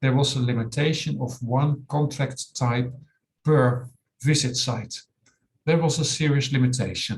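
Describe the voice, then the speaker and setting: Speaking with a Dutch accent, a man has a medium-pitched, somewhat breathy voice with fairly even intonation. His pace is fairly slow. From Netherlands. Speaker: software company owner. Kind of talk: webinar tutorial. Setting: online webinar.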